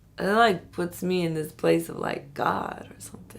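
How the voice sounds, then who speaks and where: In audible room echo, a woman with an American accent speaks at a moderate pace. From New York City, the Bronx. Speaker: activist. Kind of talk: documentary interview.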